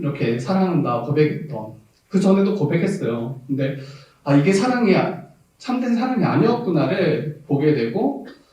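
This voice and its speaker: Audible room echo surrounds a man with a fairly high pitch. He talks at a moderate pace with very wide pitch swings. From South Jeolla, Korea. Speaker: pastor. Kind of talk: sermon. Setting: church.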